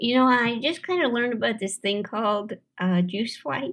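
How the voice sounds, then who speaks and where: In a plain, everyday voice, a woman with a fairly high pitch and an American accent talks at a moderate pace with lively intonation. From St. Louis, Missouri. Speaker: comedian and actor. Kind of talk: casual chat. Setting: studio.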